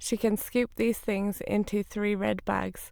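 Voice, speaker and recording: A woman with an English accent speaks at a fairly slow pace. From Northern England. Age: 20s. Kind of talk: read-aloud sentences for speech corpus.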